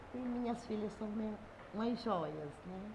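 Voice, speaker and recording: There is audible room echo and noticeable background noise as a woman speaks at a fairly high pitch with fairly even intonation. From Brazil, Ceará (Guaiúba). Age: 70s. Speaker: local community figure. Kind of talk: interview.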